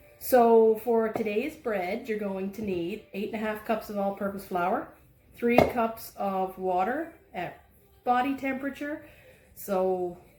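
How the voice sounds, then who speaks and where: Audible room echo surrounds a woman's fairly high voice. She speaks at a fairly slow pace. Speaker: home baking instructor. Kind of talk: cooking tutorial. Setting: home kitchen. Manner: casual, chatty.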